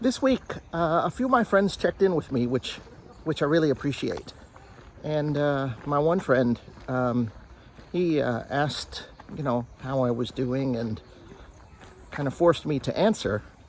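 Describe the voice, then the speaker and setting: Speaking slowly-ish with long, frequent pauses, a man with an American accent uses a fairly high voice and lively intonation. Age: 60s. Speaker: vlogger. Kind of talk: casual vlog monologue. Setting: outdoors, walking on a trail. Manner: halting, many fillers.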